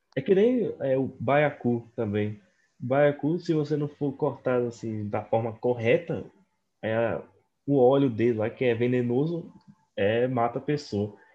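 At a fairly slow pace, a man talks in an ordinary speaking voice at a medium pitch with ordinary pitch variation. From Northeast Brazil. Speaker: podcast co-host. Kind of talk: casual chat.

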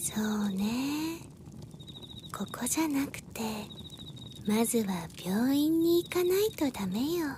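Over clear background noise, a female-sounding, soft-spoken put-on character voice with a high pitch moves at a fairly slow pace with long, frequent pauses. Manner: calm, soft, feminine speech (わ, かしら).

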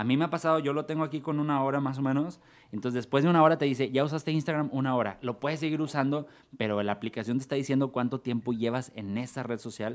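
The speaker talks at a very fast pace with a Mexican accent. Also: man, medium pitch for a man, ordinary pitch variation. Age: 40s. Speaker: comedian and theatre actor. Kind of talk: casual chat.

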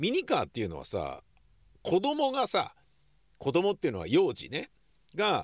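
A man talks at a moderate pace. The recording is very clean and the background silent. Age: 60s. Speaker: podcast host. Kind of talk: casual vlog-style monologue. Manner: casual, conversational with frequent fillers.

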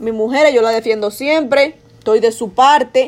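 A woman's high-pitched, animated voice with a Dominican accent. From Dominican Republic. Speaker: podcaster. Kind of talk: casual monologue.

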